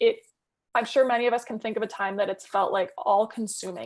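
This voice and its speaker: Her voice sits at a fairly high pitch for a woman. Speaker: mental health peer supporter and trainer. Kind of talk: webinar presentation. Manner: fast.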